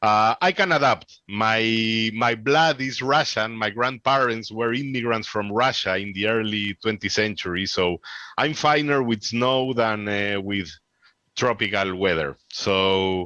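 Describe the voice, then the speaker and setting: A man with a Peruvian accent, bright and sharp in tone, at a fairly slow pace with ordinary pitch variation, dry with no echo against a quiet background. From Peru, Lima. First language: Spanish. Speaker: amateur radio presenter; radio presenter. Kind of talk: conference Q&A. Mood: chatty, animated. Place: home room. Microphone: headset.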